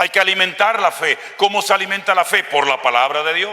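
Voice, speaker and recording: Amid noticeable background noise, a man with a high voice speaks in a raised, projected way at a moderate pace with ordinary pitch variation. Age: 60s. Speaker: pastor. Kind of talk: sermon. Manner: animated.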